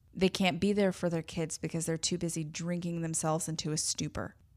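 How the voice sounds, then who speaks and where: A woman at a fairly quick pace, fairly low in pitch, with monotone, flat intonation. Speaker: podcast host. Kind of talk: monologue podcast. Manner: laughs often; emotional pleading.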